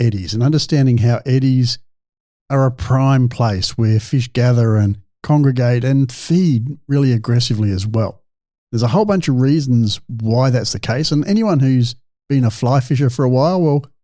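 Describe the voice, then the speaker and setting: With an Australian accent, a man speaks at a medium pitch in a dark, mellow tone. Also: very even loudness, very clean recording, silent background. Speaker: fishing podcast host and scientist. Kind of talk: solo podcast monologue. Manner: loud; animated.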